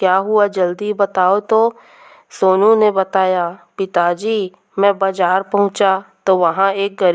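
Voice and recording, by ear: The speaker reads aloud in a natural voice. Nothing disturbs the quiet behind it.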